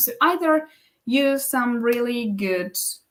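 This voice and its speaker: A woman speaks with a non-native accent. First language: not English. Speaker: business coach and live stream host. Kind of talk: live stream tutorial. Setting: live stream. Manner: halting, many self-corrections.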